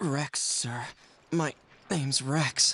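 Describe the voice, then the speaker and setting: Putting on a character voice, a man speaks with a raspy, fairly high pitch. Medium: video game. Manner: polite, addresses others as sir.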